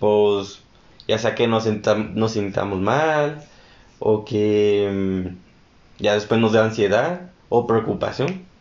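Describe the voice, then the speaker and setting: Audible room echo surrounds a voice that moves at a very slow pace, with very even loudness and ordinary pitch variation. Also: man. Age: 20s. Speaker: podcast co-host. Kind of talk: casual chat.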